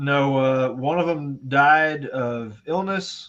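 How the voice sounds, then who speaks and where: This man talks with a fairly high pitch and fairly even intonation. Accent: Southern US. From US South. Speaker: tabletop gaming streamer. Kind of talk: casual chat. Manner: halting.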